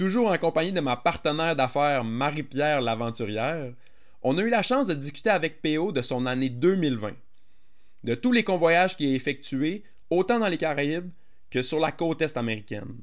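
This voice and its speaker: With lively intonation, a man talks at a fairly high pitch and moderate pace in an unremarkable speaking voice, on a very clean recording with a silent background. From Gaspésie, Quebec. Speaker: podcast host, sailing school owner. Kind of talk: podcast intro; casual interview.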